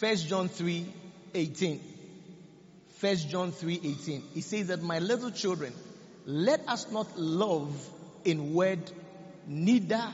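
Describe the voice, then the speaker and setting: Noticeable background noise runs under a man speaking at a very slow pace. His pitch is high, with ordinary variation. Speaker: preacher. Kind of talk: sermon, preaching with prayer and declarations. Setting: church. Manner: fervent, commanding, rallying the congregation with call-and-response; declarative, prophetic, repetitive.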